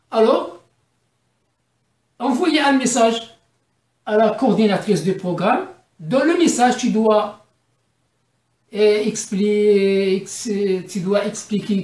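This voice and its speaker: With an Arabic accent, a woman speaks very slowly in a somewhat breathy, fairly high voice, leaving long, frequent pauses amid audible room echo. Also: ordinary pitch variation. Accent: self-described weak French, Arabic-tinged. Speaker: immigrant giving advice. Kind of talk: informal tutorial video. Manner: halting, many repetitions and fillers.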